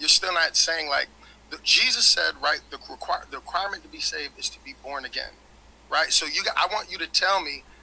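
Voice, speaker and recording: A man speaks at a fairly quick pace, his loudness swinging widely. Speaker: debate panelist; panelist. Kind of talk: heated debate. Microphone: video call.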